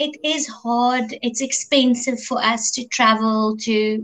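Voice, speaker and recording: A woman speaks in an Afrikaans accent. Her pitch is fairly high and her intonation fairly even. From South Africa, Afrikaans-speaking. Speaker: singer-songwriter. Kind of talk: interview.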